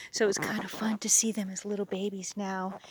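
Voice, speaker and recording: A woman whispering at a moderate pace. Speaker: gardener. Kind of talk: garden tour vlog. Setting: outdoors. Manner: chatty.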